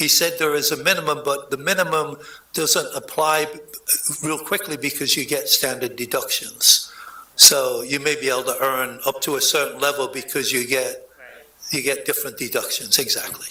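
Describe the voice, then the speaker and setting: A man talks at a moderate pace while noticeable background noise runs beneath him. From England. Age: 70s. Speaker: former mayor. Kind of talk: public meeting discussion. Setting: city commission meeting.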